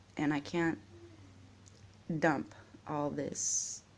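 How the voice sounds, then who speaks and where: A soft-spoken woman's voice, very deep and low in pitch, with vocal fry. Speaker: vlogger. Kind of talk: personal vlog monologue. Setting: at home, early morning. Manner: quiet, soft-spoken.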